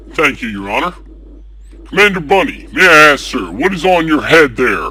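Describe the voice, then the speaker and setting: Over clear background noise, a man puts on a character voice with a fairly high pitch at a moderate pace. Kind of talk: courtroom speech. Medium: audio drama. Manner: sneering, needling.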